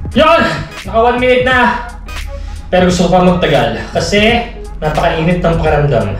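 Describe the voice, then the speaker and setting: A man speaks at a fairly quick pace. Audible room echo and faint background music fill the recording. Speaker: vlogger. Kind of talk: casual vlog chat. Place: bathroom.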